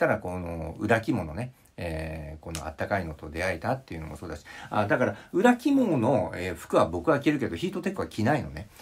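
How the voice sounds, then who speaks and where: A man's somewhat breathy voice at a fairly quick pace, with very wide pitch swings and big shifts in loudness. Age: 50s. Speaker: psychological counselor and vlogger; vlogger. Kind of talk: casual monologue vlog. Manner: rambling with many fillers. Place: home room. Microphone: phone near.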